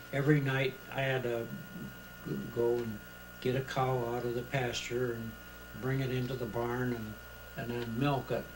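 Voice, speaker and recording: Over noticeable background noise, a man with an American accent talks at a moderate pace with medium pitch. His intonation is monotone and flat, with long, frequent pauses. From Pennsylvania, USA. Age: 80s+. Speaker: retired chemical engineer and inventor. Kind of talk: interview answer. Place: home room. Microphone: old recording.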